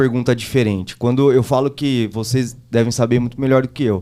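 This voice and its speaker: On a very clean recording with a silent background, a man with a normal speaking voice talks at a moderate pace and medium pitch, his intonation fairly even. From São Paulo state, Brazil (Taboão da Serra). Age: 30s. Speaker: driving instructor and political candidate. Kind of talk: casual chat.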